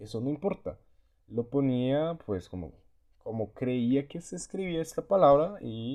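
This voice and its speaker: The pace is very slow. The tone is dark and mellow, with lively intonation. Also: man. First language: Portuguese (speaking Spanish). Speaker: language learner vlogger. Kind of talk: casual vlog monologue. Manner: halting, many repetitions and fillers.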